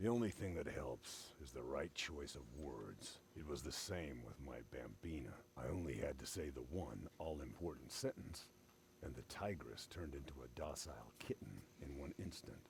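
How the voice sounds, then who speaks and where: A man's put-on character voice, very deep and low, at a moderate pace, with clear background noise. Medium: video game. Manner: wry, easygoing.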